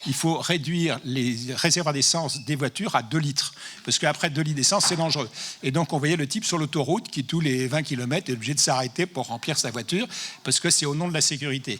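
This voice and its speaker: Very fast delivery from a man with fairly high pitch and ordinary pitch variation. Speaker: professor and anti-tobacco expert. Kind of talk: conference talk.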